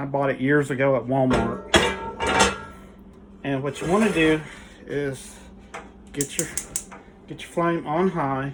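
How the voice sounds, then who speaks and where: There is noticeable background noise as a man with a fairly high pitch talks at a fairly slow pace. His pitch variation is ordinary, and he takes long, frequent pauses. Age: 60s. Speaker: home cook YouTuber. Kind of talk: cooking tutorial. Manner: casual, halting with fillers.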